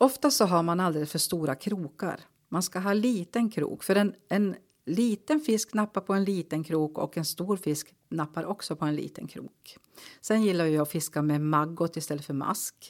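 A normal speaking voice keeps a moderate pace and ordinary pitch variation on a very clean recording with a silent background. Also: woman, fairly low pitch for a woman. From Norrbotten, northern Sweden (Kalix). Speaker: local politician. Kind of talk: interview.

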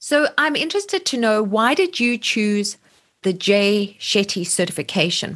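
At a moderate pace, a woman uses an ordinary speaking voice with a fairly high pitch, lively intonation and very even loudness. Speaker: podcast host. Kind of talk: casual interview chat.

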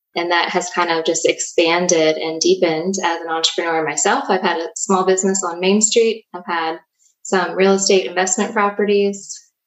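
An unremarkable speaking voice, a woman's, medium in pitch, with an American accent, fairly even intonation and a moderate pace. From southern Virginia (Danville). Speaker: podcast host, economic development leader. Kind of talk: casual chat.

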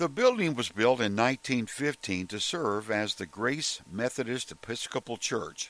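A man with an American accent and an unremarkable speaking voice, at medium pitch with ordinary pitch variation and a fairly slow pace, in a very clean recording with a silent background. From Oklahoma, Tulsa. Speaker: podcast host. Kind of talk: scripted narration.

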